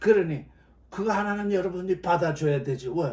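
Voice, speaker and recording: There is audible room echo as a man speaks in an animated tone with ordinary pitch variation. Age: 70s. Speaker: Bible teacher. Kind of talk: sermon. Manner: loud.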